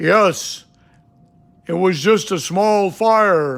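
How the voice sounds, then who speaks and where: A man puts on a character voice with a high pitch. His pitch varies in an ordinary way. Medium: read story.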